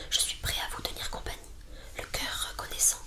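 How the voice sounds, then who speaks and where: A woman whispers at a moderate pace while noticeable background noise carries on. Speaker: ASMR creator. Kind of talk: whispered audiobook reading.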